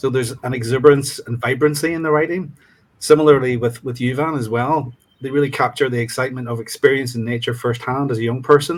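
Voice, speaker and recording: With a Northern Irish accent, a man speaks very fast at a medium pitch. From Northern Ireland, County Fermanagh. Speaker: student reader in literary exchange. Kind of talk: discussion panel answer. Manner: hesitant, many ums.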